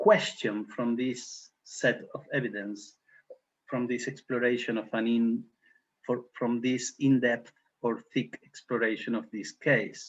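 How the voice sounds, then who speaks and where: This man has an unremarkable speaking voice at a medium pitch. He talks at a fairly slow pace with fairly even intonation. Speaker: criminology professor. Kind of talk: academic seminar lecture.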